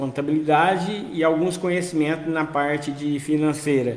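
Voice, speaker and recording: A man's voice, with audible room echo, comes through noticeable background noise. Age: 60s. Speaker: social worker, finance educator. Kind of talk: live-stream talk. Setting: outdoors on home balcony.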